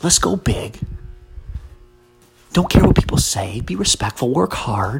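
With music in the background, a soft-spoken man talks at medium pitch with very wide pitch swings. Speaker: podcast host. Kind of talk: motivational monologue. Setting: at home, early morning. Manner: soft-spoken, talking quietly.

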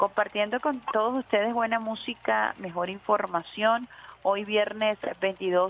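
Her pitch sits in the medium range for a woman, and the woman's pitch variation is ordinary. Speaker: radio host. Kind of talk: radio talk show. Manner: animated.

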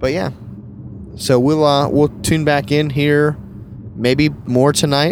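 A man with an American accent talks at a fairly high pitch and a very slow pace. His intonation is fairly even, and he leaves long, frequent pauses. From US South. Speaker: podcast host, wedding photographer. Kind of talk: casual chat. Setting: in a car.

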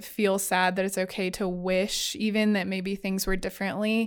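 A woman with an unremarkable speaking voice talks at medium pitch with fairly even intonation. The recording is very clean, the background silent. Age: 20s. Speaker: college student ministry worker. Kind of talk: casual chat. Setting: studio, in person.

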